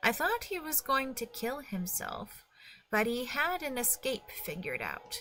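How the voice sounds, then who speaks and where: Over music in the background, a woman does a put-on character voice that is gruff and growling, delivered at a moderate pace. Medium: read story. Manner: gruff, growling.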